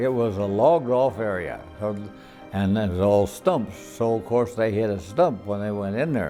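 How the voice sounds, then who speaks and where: A man with an American accent at a moderate pace, with ordinary pitch variation and music in the background. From Colorado, USA. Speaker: World War II veteran. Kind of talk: interview answer.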